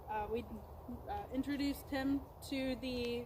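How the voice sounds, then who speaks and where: Over noticeable background noise, a woman speaks loudly with monotone, flat intonation. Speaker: horse trainer. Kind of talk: training video commentary. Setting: outdoors. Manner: hesitant, many fillers.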